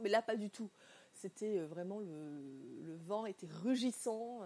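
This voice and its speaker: A woman with a dark, mellow tone speaks at a fairly slow pace in a medium pitch, with ordinary pitch variation. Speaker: podcaster. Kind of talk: personal monologue. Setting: indoors at home. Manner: halting.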